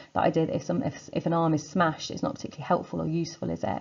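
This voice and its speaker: Talking at a very fast pace in a British accent, a woman has a very deep, low pitch with vocal fry. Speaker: secondary school English teacher. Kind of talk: revision lecture. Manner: casual, filler-heavy.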